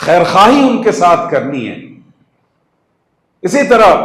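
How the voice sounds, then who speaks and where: With a high pitch, a man speaks in lively intonation. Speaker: Islamic scholar and inspirational speaker. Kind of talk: religious lecture / sermon to an audience. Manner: earnest, didactic, mixes English terms into Urdu.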